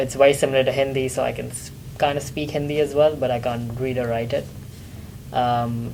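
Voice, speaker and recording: A man talks at a fairly quick pace and medium pitch, his intonation flat and monotone. Noticeable background noise runs under his voice. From Pakistan. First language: Urdu. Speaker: international student. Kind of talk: casual interview. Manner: hesitant, with fillers and false starts.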